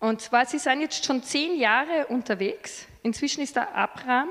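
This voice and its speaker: A woman's voice with lively intonation. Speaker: preacher. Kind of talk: sermon. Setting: church service with slides.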